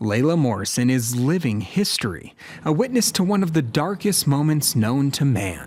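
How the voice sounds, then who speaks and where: A man talks at a moderate pace in a fairly high pitch, his voice making very wide pitch swings. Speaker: TV news reporter. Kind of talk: TV news report narration.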